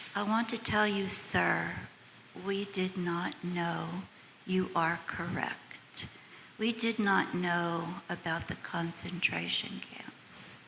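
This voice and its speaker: At a very slow pace, a woman with a medium pitch speaks in fairly even intonation over noticeable background noise. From United States. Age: 80s+. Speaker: audience member. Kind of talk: audience question and comment.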